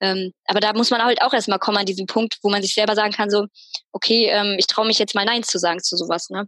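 A woman's medium-pitched, bright and sharp voice at a very fast pace, dry and close with no echo. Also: fairly even intonation. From Münster, Germany. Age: 20s. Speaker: media designer and Instagram creator. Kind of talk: casual interview chat.

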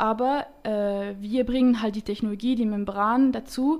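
A woman speaks at a fairly slow pace with fairly high pitch. Her intonation stays fairly even. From French-speaking Switzerland. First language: French (speaking German). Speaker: startup founder, chemical engineer. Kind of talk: interview. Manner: hesitant, many fillers.

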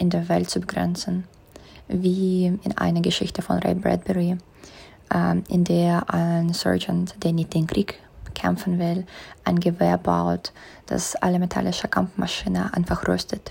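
A woman with a Russian accent at a fairly slow pace, with long, frequent pauses and very even loudness. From Russia, St. Petersburg. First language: Russian (speaking German). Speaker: master's student, project member. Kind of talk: interview.

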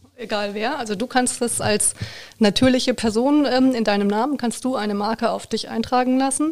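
Speaking at a moderate pace, a woman uses a normal speaking voice with a fairly high pitch and fairly even intonation. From Baden-Württemberg, near Heidelberg. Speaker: trademark lawyer. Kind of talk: expert interview.

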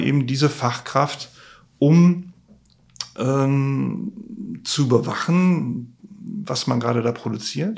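A man's voice at a medium pitch. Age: 50s. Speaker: materials tester, trainer. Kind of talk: casual interview. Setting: workshop on site.

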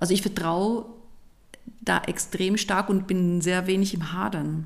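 At a fairly slow speed, the speech comes out with vocal fry. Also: woman. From Switzerland. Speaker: organizational consultant and trainer. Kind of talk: casual chat.

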